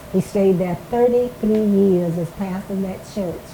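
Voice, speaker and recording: With an Alabama accent, a woman talks at a medium pitch. Background noise is noticeable. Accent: US Southern, Alabama. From Alabama, Marengo County. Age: 90s. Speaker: retired schoolteacher. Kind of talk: oral history interview. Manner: halting, repeats words.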